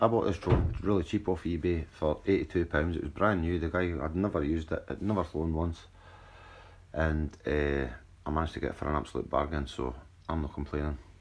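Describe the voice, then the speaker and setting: Speaking at a fairly quick pace, a man with a Scottish accent uses a very deep, low pitch with ordinary pitch variation. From Scotland. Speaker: drone hobbyist youtuber. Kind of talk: tutorial. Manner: casual, some stumbling and repeats.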